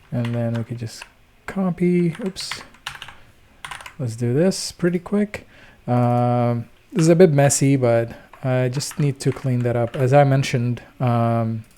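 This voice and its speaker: Speaking at a fairly slow pace with long, frequent pauses, a man uses a medium pitch and ordinary pitch variation over noticeable background noise. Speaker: programming tutor, coding channel host. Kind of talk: screen-recorded coding tutorial. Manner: casual, many filler words (uh, um).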